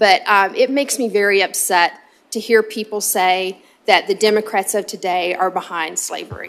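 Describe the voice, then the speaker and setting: A woman with a Southern US accent, on a very clean recording with a silent background. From US South. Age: 50s. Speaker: state legislator. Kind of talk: committee hearing remarks. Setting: legislative committee hearing. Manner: hesitant, many filler ums.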